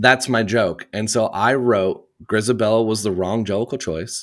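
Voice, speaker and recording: A man with an American accent speaks at a fairly slow pace and a medium pitch. The recording is very clean, with a silent background. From US Midwest, Indiana. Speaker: theatre podcast host. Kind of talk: casual interview chat.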